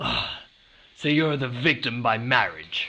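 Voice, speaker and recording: A man speaks in a put-on character voice that sounds raspy, at a medium pitch. His pitch varies in an ordinary way, and his pace is fairly slow. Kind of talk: noir detective parody. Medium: audio drama. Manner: deadpan, dry.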